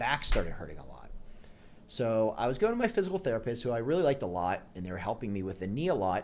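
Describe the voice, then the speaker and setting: With an American accent and an animated tone, a man talks at a very fast pace and medium pitch, making very wide pitch swings and big swings in loudness. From Pittsburgh, Pennsylvania, US. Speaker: chiropractor. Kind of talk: interview storytelling. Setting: podcast interview. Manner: conversational, animated.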